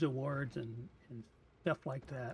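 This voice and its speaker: In a somewhat breathy voice, a man delivers his words fairly slowly. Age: 60s. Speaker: gaming streamer. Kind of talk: live gameplay commentary. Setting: live stream. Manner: hesitant, many fillers.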